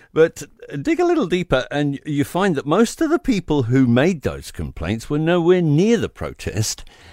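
A man with a New Zealand accent, dry and close with no echo. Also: moderate pace. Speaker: radio commentator. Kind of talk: angry opinion rant. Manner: indignant, combative; emphatic, punchy.

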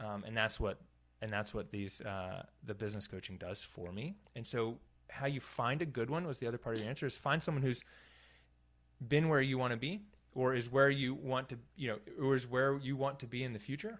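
A man speaks at a medium pitch in a plain, everyday voice. His pitch varies in an ordinary way against a quiet background. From North Carolina. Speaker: physical therapist and business consultant. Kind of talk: interview, casual.

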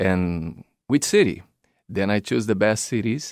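Very slow speech with a Brazilian accent, dry and close with no echo, in a very clean recording with a silent background. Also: man. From São Paulo, Brazil. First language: Portuguese. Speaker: circus performer, clown and drummer. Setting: studio.

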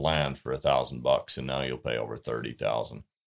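With a western US accent, a man speaks with vocal fry. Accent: rural western US. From southern Utah. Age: 40s. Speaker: hunting writer and rancher. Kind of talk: interview.

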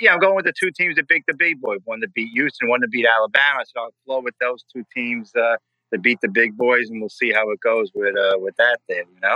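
A man talks at a fairly quick pace with an American accent. He leaves hardly any pauses. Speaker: caller, Yankees fan. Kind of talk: call-in sports talk.

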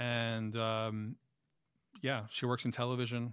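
Speaking very slowly, a man talks in a New York accent. The recording is very clean, with a silent background. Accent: New York City. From Queens, New York City. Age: 40s. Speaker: music journalist and musician. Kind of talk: casual interview chat.

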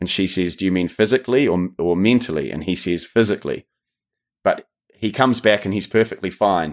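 A man speaks at a fairly quick pace with a New Zealand accent, his fairly low voice showing ordinary pitch variation. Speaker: true crime podcaster, former stunt actor. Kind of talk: casual chat. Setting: remote call.

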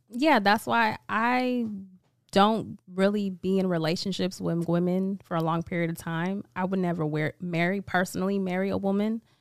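In a very clean recording with a silent background, a woman with an American accent speaks at a moderate pace and medium pitch in an ordinary speaking voice. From Vallejo, California. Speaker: small business owner. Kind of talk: casual chat.

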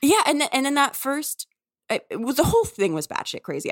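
A woman with an American accent, very fast pace, very wide pitch swings and vocal fry. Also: dry, close sound with no echo. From US South, New Orleans. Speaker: author. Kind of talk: interview conversation.

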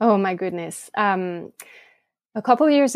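With a French accent, a woman speaks in a dry, close sound with no echo against a quiet background. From France. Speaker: blogger. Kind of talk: casual interview.

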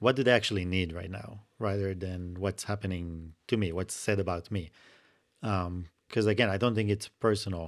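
The speaker uses a normal speaking voice at a moderate pace with fairly even intonation. The recording is very clean, with a silent background. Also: man, fairly low pitch for a man. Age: 40s. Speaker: artist. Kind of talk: casual chat.

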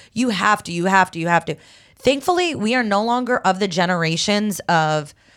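On a very clean recording with a silent background, a woman with an ordinary speaking voice talks at a moderate pace and a medium pitch, with ordinary pitch variation. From Egypt, raised in US from age five. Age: 30s. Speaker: comedian. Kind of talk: casual chat.

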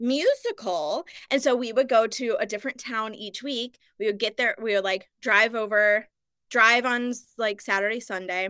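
An American-accented woman speaks at a moderate pace in a fairly high pitch with ordinary pitch variation. Her tone is bright and sharp, on a very clean recording with a silent background. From Missouri, US Midwest. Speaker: actor and podcast host. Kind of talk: casual chat.

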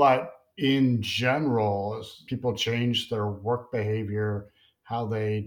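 Over a very clean recording with a silent background, a man speaks in an ordinary speaking voice at a fairly low pitch with fairly even intonation. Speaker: podcast co-host. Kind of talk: interview.

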